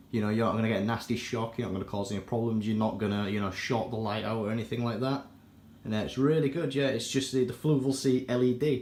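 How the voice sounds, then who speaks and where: The speaker talks at a very fast pace with a British accent. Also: man, medium pitch for a man. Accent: British accent, self-described as terrible. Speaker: aquarium hobbyist YouTuber. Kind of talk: casual product review walkthrough. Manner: casual, with many fillers.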